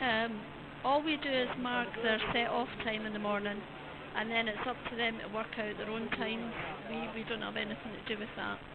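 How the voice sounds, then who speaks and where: With a Scottish accent, this voice moves at a moderate pace and keeps a fairly even intonation, with noticeable background noise and audible room echo. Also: woman, fairly high pitch for a woman. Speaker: event official. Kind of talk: interview. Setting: outdoors at event car park.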